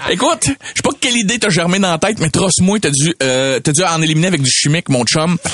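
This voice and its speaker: With an animated tone and lively intonation, a man talks at a very fast pace with a high pitch in a Quebec accent, keeping very even loudness and hardly any pauses over noticeable background noise. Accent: Québécois French. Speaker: comedian. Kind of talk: comedic podcast chat.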